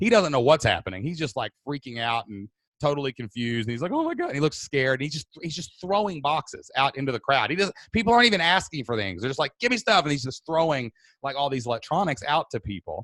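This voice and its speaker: Loud and animated, the voice races at a very fast pace with very wide pitch swings, captured in a dry, close sound with no echo. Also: man, fairly high pitch for a man. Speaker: webinar host and podcaster. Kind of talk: storytelling in a live webinar. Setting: live video webinar.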